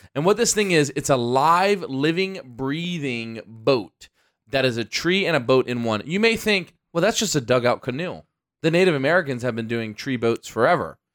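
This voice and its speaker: In a very clean recording with a silent background, a man with a fairly high pitch talks at a moderate pace with very wide pitch swings. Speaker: podcast co-host. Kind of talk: casual chat. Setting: studio. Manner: playful.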